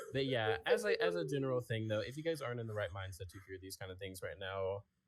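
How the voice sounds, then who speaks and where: A man with a fairly low, somewhat breathy voice speaks at a very fast pace, with ordinary pitch variation and big swings in loudness. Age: 20s. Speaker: podcast co-host and story narrator. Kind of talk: casual chat. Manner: halting.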